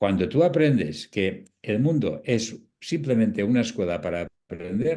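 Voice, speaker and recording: His voice has a dark, mellow tone and medium pitch for a man, with very wide pitch swings. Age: 70s. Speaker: palliative care doctor and author. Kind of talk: interview talk.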